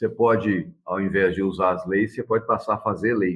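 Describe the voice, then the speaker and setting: A man speaks with fairly even intonation. His is an unremarkable speaking voice. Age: 60s. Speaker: lawyer and council candidate. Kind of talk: interview. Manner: casual, with frequent fillers.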